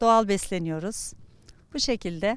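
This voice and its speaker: A woman speaking at a fairly slow pace with lively intonation, against a quiet background. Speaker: retiree. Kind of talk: street interview. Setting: outdoors. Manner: halting.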